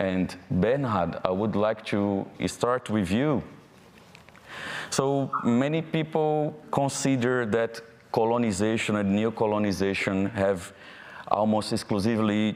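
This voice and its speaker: Fairly low male voice with a Brazilian accent, at a fairly slow pace. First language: Portuguese. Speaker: panel moderator. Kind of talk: panel discussion moderation; reading aloud.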